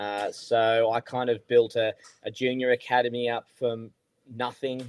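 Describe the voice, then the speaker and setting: A man talks with an Australian accent at a medium pitch. His intonation is monotone and flat. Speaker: golf coach, podcast co-host. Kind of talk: casual podcast chat.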